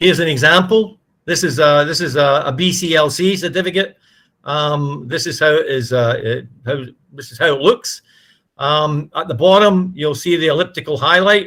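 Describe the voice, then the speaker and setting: With a bright, sharp tone, a man speaks at a moderate pace in a fairly high pitch with ordinary pitch variation. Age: 70s. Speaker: ship registry manager giving a guest lecture. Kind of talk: lecture. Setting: presentation with slides. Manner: halting, many fillers.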